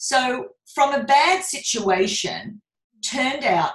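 A woman's somewhat breathy voice with lively intonation. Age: 50s. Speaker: business coach. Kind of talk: casual chat.

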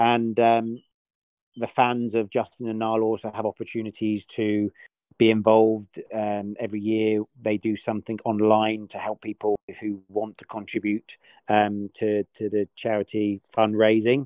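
Keeping a moderate pace, a man with a fairly low pitch speaks in a monotone, flat way. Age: 30s. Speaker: golf player manager. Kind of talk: interview.

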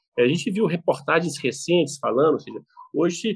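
Here a man speaks fairly slowly with lively intonation. His pitch is high. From Brazil, Belo Horizonte (Minas Gerais). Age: 50s. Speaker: wine importer and business owner. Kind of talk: casual interview. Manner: halting, repeats words.

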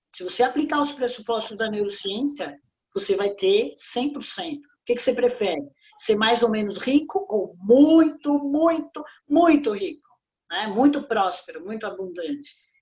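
The pitch swings very widely and the loudness rises and falls sharply. Delivery is fairly slow. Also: woman, high pitch for a woman. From Brazil, São Paulo. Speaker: business consultant and author. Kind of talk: interview. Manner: animated.

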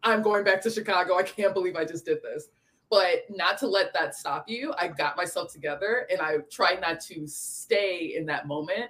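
Here is a plain, everyday voice with an American accent. The pace is moderate, with ordinary pitch variation. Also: woman, medium pitch for a woman. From Michigan. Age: 20s. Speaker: influencer, aspiring model and actress. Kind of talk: casual chat.

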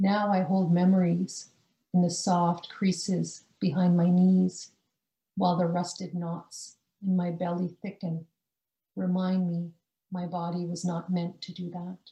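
In a Canadian accent, a woman speaks at a fairly slow pace with long, frequent pauses. Her voice is somewhat breathy and fairly low-pitched, with a dark, mellow tone and monotone, flat intonation. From British Columbia, Canada (born rural India). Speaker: poet. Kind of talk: casual interview chat; poetry reading of her own confessional free verse. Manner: slow, measured, deliberate pacing with weighted pauses between images; quiet, intimate and restrained.

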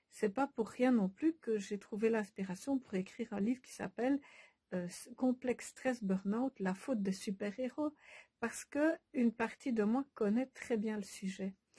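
A woman speaks at a fairly slow pace in a dark, mellow, somewhat breathy voice with a fairly high pitch and ordinary pitch variation, the sound dry and close with no echo. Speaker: Bach flower remedy practitioner and author. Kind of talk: casual monologue to followers. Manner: hesitant, many filler sounds.

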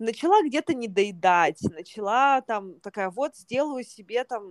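A woman with an ordinary speaking voice talks at a fairly slow pace with ordinary pitch variation, her sound dry and close with no echo on a very clean recording over a silent background. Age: 30s. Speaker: yoga teacher and podcast host. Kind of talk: casual chat.

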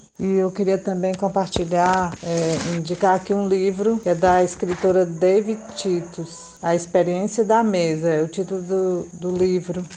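Over noticeable background noise, a woman at medium pitch speaks fairly slowly in a flat monotone, with hardly any pauses. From Piauí, Brazil. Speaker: listener. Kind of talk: recorded voice message.

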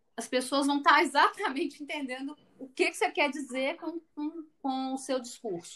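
Her raised, projected voice is high-pitched, and this woman's tone is bright and sharp. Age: 40s. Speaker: finance executive. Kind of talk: interview.

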